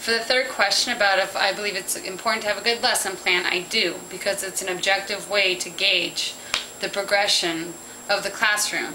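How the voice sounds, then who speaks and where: A woman with an American accent and medium pitch speaks with fairly even intonation, amid audible room echo and noticeable background noise. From Southern California. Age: 20s. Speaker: teaching job applicant. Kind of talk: recorded job interview answers.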